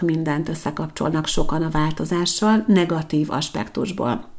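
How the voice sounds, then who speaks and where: A woman talks at a moderate pace in a fairly low pitch, with ordinary pitch variation. It's a normal speaking voice. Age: 40s. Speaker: podcast host, personal development consultant. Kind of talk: solo monologue podcast.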